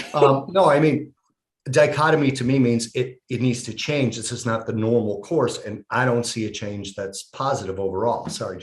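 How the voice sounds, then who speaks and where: A man talks at a moderate pace and medium pitch in a somewhat breathy voice. His pitch variation is ordinary, but his loudness swings widely. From Italy. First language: Italian. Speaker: podcast host. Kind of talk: casual chat.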